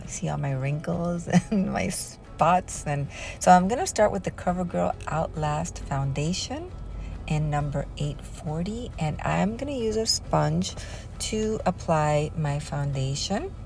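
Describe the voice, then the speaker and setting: Room echo is audible as a woman delivers her words at a fairly slow pace. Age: 60s. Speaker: crafts and beauty YouTuber. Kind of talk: casual tutorial. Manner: casual, hesitant.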